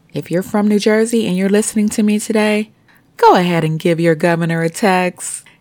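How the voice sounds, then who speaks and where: A woman speaks with an American accent at a fairly quick pace. Her pitch sits in the medium range, with ordinary variation. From US North Carolina. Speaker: podcast host. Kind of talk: angry rant, indignant and scathing, calling out officials. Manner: fired-up, outraged, emphatic, confrontational; animated.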